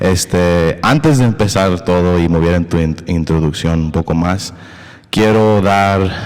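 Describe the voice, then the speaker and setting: Noticeable background noise sits behind this man's voice. His pitch is very deep and low, with fairly even intonation. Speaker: podcast host. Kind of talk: casual conversation. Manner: halting, hesitant with English fillers.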